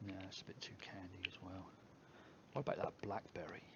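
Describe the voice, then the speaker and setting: A man whispers and mumbles at a fairly quick pace. He has an English accent. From England. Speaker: e-liquid mixing streamer. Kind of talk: live stream tutorial. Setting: live stream. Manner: mumbling; casual.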